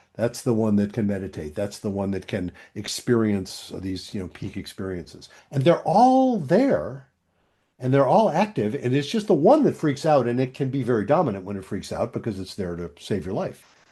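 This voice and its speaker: A man with a medium-pitched, dark, mellow voice talks at a moderate pace with very wide pitch swings over a quiet background. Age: 70s. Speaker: couples psychologist. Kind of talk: interview conversation.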